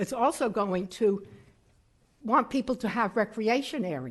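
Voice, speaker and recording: A woman with a fairly high voice and some vocal fry speaks at a moderate pace. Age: 80s+. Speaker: public commenter. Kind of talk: public comment at a meeting.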